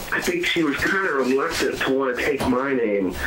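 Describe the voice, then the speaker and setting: Against noticeable background noise and audible room echo, a man talks with an American accent. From US, southwestern Pennsylvania (Fayette County). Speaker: author. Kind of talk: casual interview. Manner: hesitant, many fillers.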